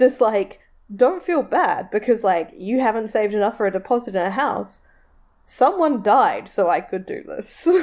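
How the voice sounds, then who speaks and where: A woman speaks with a New Zealand accent, her fairly high voice carrying lively intonation. The recording is very clean, with a silent background. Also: moderate pace. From New Zealand, Tauranga. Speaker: podcast co-host. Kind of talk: casual chat.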